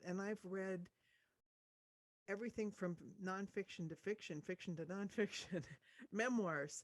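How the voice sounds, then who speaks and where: This woman talks at a moderate pace with a medium pitch and an American accent. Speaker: audiobook narrator. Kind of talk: interview answer.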